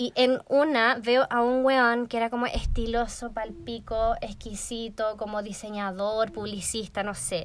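In an unremarkable speaking voice, a woman talks fairly slowly at a fairly high pitch with fairly even intonation, on a very clean recording with a silent background. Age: 20s. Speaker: podcast co-host, online shop owner. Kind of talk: casual chat.

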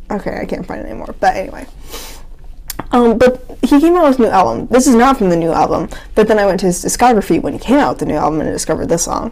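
Speaking very fast with very wide pitch swings, a woman with a fairly high voice comes through over noticeable background noise. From New England. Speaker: podcast co-host. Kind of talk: casual chat.

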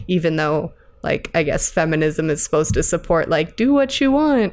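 A woman with a normal speaking voice speaks at a fairly quick pace. Her pitch is fairly low, with ordinary pitch variation. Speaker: podcast host. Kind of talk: casual chat.

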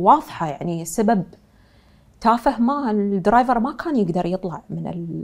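A woman speaks at a moderate pace in an Emirati accent, her pitch medium. Her intonation is lively, and her loudness swings widely. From UAE, Dubai. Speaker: fashion designer and entrepreneur. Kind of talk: interview.

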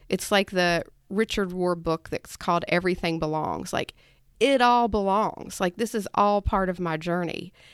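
A woman with an American accent and a normal speaking voice, medium in pitch, at a moderate pace, on a very clean recording with a silent background and a dry, close sound with no echo. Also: ordinary pitch variation. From West Virginia. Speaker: podcast co-host. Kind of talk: casual chat.

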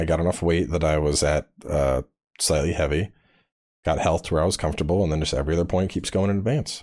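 With vocal fry and very even loudness, the speaker talks at a very fast pace with ordinary pitch variation. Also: man, very deep, low pitch for a man, very clean recording, silent background. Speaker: gaming YouTuber. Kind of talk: casual chat.

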